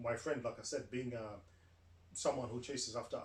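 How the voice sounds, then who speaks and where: There is noticeable background noise behind a man's voice. He speaks at medium pitch with fairly even intonation. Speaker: podcast host and YouTuber. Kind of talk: casual monologue. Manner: loud, projecting; hesitant, many fillers.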